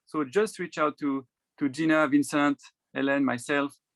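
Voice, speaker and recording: A man with a French accent talks at a moderate pace with ordinary pitch variation. The sound is dry and close, with no echo. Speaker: committee co-leader. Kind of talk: event presentation. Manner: hesitant.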